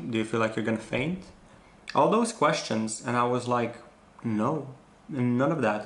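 Ordinary rises and falls in pitch mark a man's speech at a medium speed. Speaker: vlogger. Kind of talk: casual vlog chat. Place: home room. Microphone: phone near.

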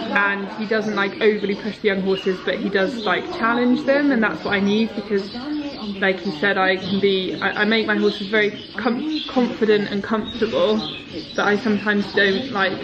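A woman's voice, with ordinary pitch variation and a moderate pace, comes through noticeable background noise. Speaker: horse rider vlogger. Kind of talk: casual vlog chat. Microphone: phone near.

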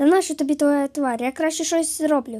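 A woman uses a put-on character voice at a high pitch and a fairly quick pace. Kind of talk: comic overacting. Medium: fan dub.

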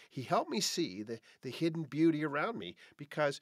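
At a fairly quick pace and with lively intonation, a man speaks over a quiet background, the sound dry with no echo. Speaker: podcast host. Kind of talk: podcast monologue. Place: home room.

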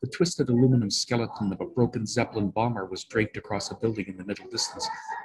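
The intonation is lively as the text is read aloud in a natural voice.

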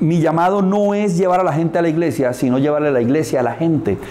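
A man speaks at a fairly high pitch for a man, with ordinary pitch variation. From Colombia, Barrancabermeja (Santander). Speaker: advertising executive and motivational speaker. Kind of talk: interview. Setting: karaoke bar. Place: studio.

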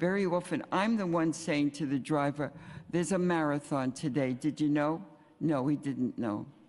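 A woman's very deep, low pitch, with ordinary pitch variation and a fairly slow pace. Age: 80s+. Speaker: senior citizen testifying at hearing. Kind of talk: public testimony. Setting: city council hearing with microphone.

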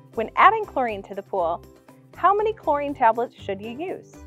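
Over faint background music, a woman speaks at a fairly quick pace in a dry sound with no echo. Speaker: presenter. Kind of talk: tutorial. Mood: friendly, upbeat. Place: garden.

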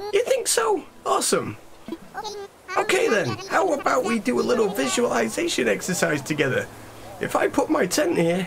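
Doing a put-on character voice, a man talks at an extremely high pitch with long, frequent pauses over clear background noise. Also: moderate pace. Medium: solo performance. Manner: energetic, enthusiastic.

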